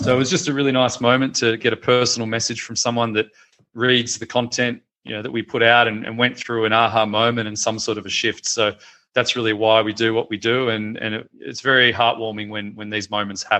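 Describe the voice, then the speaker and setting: A man with an Australian accent talks at a fairly quick pace. His medium pitch carries monotone, flat intonation. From Australia, Melbourne. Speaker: founder of a media website. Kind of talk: interview. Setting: video call.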